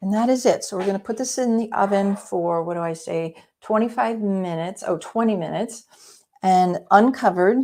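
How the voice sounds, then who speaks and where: With a dark, mellow tone, a woman speaks at a medium pitch and a fairly quick pace, using ordinary pitch variation. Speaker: cooking instructor, cookbook author. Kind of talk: live cooking demo. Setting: live video stream. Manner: fast.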